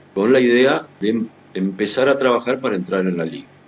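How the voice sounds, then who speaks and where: A man with a Rioplatense accent talks at a medium pitch and a moderate pace, with ordinary pitch variation. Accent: Argentine Spanish (rioplatense). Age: 60s. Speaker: writer and journalist. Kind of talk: interview. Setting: video call.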